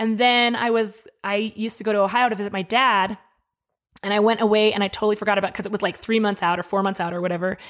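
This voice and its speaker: An animated, very fast woman's voice with an American accent, pitched at medium. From Colorado, US. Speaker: craft beer trade association director, former radio host. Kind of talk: casual chat. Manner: animated, laughs often.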